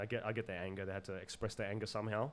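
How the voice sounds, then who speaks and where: A man speaks at a very fast pace in a medium pitch. He has an Australian accent. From Zimbabwe, raised in Sydney area, Australia. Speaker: podcast guest. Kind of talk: casual chat. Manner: loud; halting, many repetitions.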